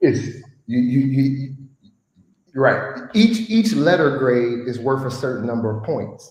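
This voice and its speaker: In a Chicago accent, a man speaks at medium pitch and a fairly slow pace, with lively intonation and audible room echo. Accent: Chicago American English. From US Midwest, Chicago. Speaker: guest sharing life story. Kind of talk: podcast conversation.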